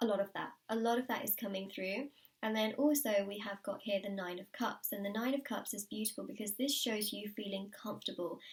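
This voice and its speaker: Calm in tone and somewhat breathy, a woman speaks at a moderate pace. Her pitch is medium, with ordinary pitch variation. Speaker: tarot reader. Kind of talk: tarot reading.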